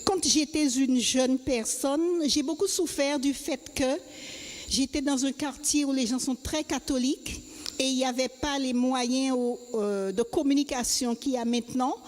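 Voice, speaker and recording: The speech moves at a fairly slow pace. Noticeable background noise is present. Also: woman, high pitch for a woman, ordinary pitch variation. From Guadeloupe. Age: 70s. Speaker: church member. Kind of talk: testimony.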